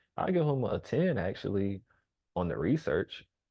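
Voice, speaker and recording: A man's voice with vocal fry and very wide pitch swings, at a moderate pace. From US South. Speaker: rapper and reaction streamer. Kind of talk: casual reaction commentary. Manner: casual, hesitant with fillers.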